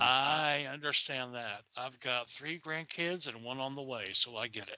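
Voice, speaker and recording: A man speaks at a fairly slow pace with a Southern US accent. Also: medium pitch for a man, ordinary pitch variation. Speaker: podcast guest. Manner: casual, profane.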